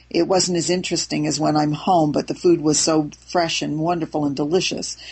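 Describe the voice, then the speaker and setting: A woman with an American accent, a very deep, low pitch and vocal fry, talking at a fairly quick pace. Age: 70s. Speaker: raw food author. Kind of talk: interview. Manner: animated; hesitant, with fillers.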